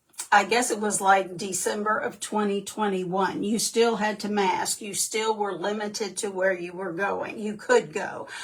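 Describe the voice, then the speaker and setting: At a moderate pace and with fairly even intonation, the speech runs on with hardly any pauses against noticeable background noise. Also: woman, medium pitch for a woman. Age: 60s. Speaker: direct sales consultant. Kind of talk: livestream talk. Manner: halting, many fillers.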